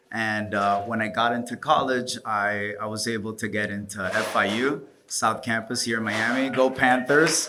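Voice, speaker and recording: A man talks in a bright, sharp tone at a medium pitch with fairly even intonation. The room echo is audible. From Dominican Republic. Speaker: DJ and event promoter. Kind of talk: panel talk.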